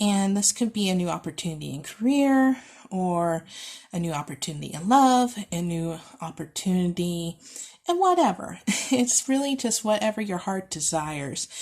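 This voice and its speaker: A woman talks at a medium pitch and a moderate pace, her voice somewhat breathy. Her intonation is lively, and the recording is very clean with a silent background. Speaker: tarot reader. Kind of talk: pick-a-card tarot reading.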